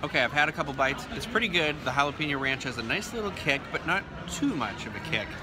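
Noticeable background noise fills the clip. Over it, a man speaks at a fairly quick pace. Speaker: food vlogger. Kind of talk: casual vlog chat. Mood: relaxed, self-deprecating. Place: cafe. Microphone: phone near.

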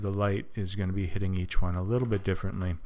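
Audible room echo surrounds a man whose fairly low voice stays monotone and flat. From Canada. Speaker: tutorial creator. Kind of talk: tutorial. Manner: casual with many fillers.

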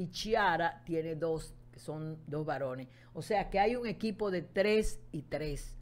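Talking at a very slow pace, a woman with a fairly low pitch uses lively intonation and big swings in loudness. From Dominican Republic, Santo Domingo. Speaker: meteorologist. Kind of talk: interview. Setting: studio.

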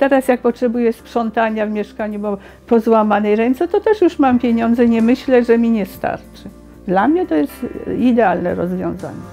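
Music plays in the background as a woman with a Polish accent speaks. Her fairly high voice moves at a moderate pace with ordinary pitch variation. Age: old. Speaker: retiree. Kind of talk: interview answer.

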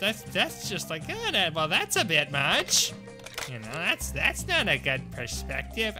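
Someone performs a put-on character voice at a fairly slow pace. Clear music plays in the background. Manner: entitled, disapproving.

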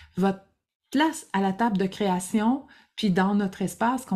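Against a quiet background, a woman with a Quebec accent speaks in a dark, mellow tone. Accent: Québécois French. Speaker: creativity coach. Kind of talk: casual monologue to camera; casual vlog chat. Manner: halting, many fillers. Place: home room.

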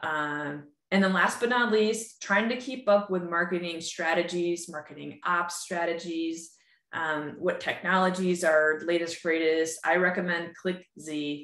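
In an American accent, a woman speaks at a moderate pace with hardly any pauses and a fairly low pitch, with audible room echo against a quiet background. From upstate New York. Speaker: user group host, marketing technology consultant; user group host. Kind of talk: webinar presentation. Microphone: webcam.

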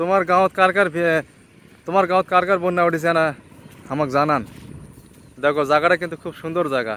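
This man's voice sits high in pitch with ordinary pitch variation. His tone is bright and sharp. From Bangladesh, Dinajpur. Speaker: village vlogger. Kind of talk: casual vlog walkthrough. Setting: outdoors.

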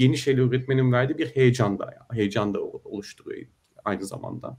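A man speaks at a moderate pace. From Turkey. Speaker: software engineer; guest. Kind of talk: online panel discussion. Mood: calm, reflective. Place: home room. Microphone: webcam.

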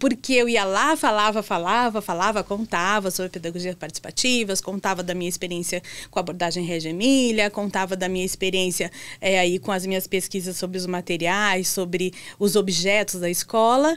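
A woman's medium-pitched voice at a moderate pace. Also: ordinary pitch variation. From southern Brazil (Santa Catarina). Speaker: educator and furniture workshop founder. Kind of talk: interview. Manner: hesitant fillers. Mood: warm, cheerful storytelling. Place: studio. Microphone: studio mic.

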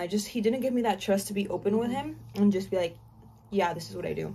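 A woman's somewhat breathy voice has a dark, mellow tone and ordinary pitch variation. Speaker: YouTuber and exotic dancer; vlogger. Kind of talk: casual storytime chat. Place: home room.

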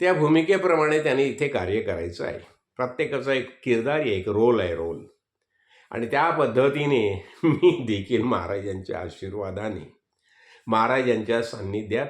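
Lively intonation at a man's medium pitch, with audible room echo. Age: 70s. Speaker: spiritual teacher. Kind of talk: religious discourse.

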